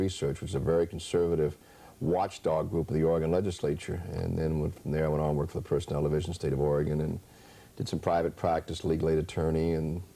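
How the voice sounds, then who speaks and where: Speaking at a very fast pace with a slight West Virginia accent, a man has a very deep, low pitch, a dark, mellow tone and fairly even intonation. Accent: slight West Virginia lilt. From US South (West Virginia, Appalachia). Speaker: state legislator. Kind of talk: interview.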